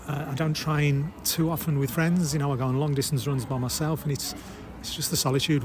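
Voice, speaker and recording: Speaking at a very fast pace over noticeable background noise, a man keeps his fairly high pitch in fairly even intonation. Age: 60s. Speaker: amateur ultra runner. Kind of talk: interview.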